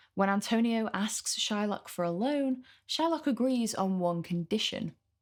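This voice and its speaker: The speaker has a Mancunian accent and lively intonation. The recording is very clean, with a silent background. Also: woman. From northern England, Manchester. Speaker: literature tutor. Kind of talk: lecture.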